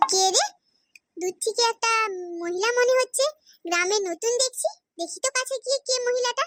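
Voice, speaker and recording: In a put-on character voice, the speaker sounds squeaky at an extremely high pitch and keeps a moderate pace. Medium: cartoon. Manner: loud, exclamatory, rustic.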